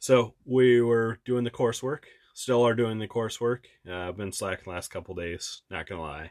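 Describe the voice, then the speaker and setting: In an ordinary speaking voice, a man talks at medium pitch and a moderate pace, with ordinary pitch variation and big swings in loudness. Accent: American. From Wisconsin. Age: 30s. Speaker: travel podcast co-host. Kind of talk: casual chat.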